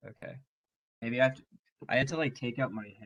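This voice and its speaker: This is a man speaking. He is soft-spoken. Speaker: tutoring center staff trainer. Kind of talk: training session. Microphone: very quiet, had to use computer mic.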